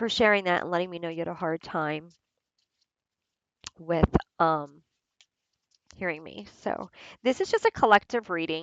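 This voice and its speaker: A soft-spoken woman talks at a moderate pace with ordinary pitch variation, big swings in loudness, and long, frequent pauses. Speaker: tarot and oracle card reader. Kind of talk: oracle card reading and unboxing. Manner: halting, with repetitions.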